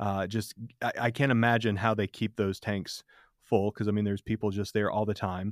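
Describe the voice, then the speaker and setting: A man with an American accent talks at a fairly quick pace and fairly low pitch in a monotone, flat intonation. The sound is dry and close with no echo, on a very clean recording with a silent background. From Michigan. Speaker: podcast host. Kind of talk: casual chat. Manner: halting.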